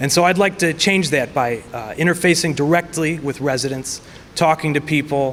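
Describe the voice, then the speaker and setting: Against noticeable background noise, a man talks at a fairly high pitch with ordinary pitch variation. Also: moderate pace. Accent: American. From US Midwest, Chicago suburbs. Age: 20s. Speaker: political candidate. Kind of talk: candidate speech at forum.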